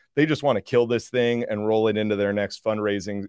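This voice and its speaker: With an American accent, a man speaks in a normal speaking voice at a fairly low pitch and fairly even intonation, in a dry, close sound with no echo against a quiet background. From US Northeast (New Jersey). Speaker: energy investor. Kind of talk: casual chat. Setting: video studio.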